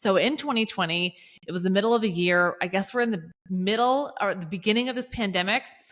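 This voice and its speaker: A woman's medium-pitched voice in a Southern US accent, very fast, with ordinary pitch variation. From US South, Georgia. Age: 30s. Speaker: accountability coach. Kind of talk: podcast interview. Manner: casual, chatty.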